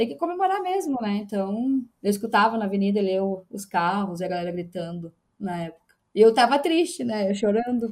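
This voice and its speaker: A woman at medium pitch in a southern Brazilian accent, fairly quick, with lively intonation and big swings in loudness. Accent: southern Brazilian (gaúcho) Portuguese. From interior of Rio Grande do Sul, Brazil (Erechim). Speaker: football fan. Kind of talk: casual chat.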